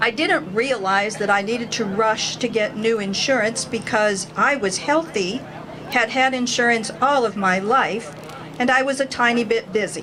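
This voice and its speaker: Against crowd noise and audible room echo, a woman speaks at a moderate pace with a fairly high pitch. Her loudness stays very even and her pitch variation is ordinary. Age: 60s. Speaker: rally speaker, cancer survivor. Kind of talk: rally speech.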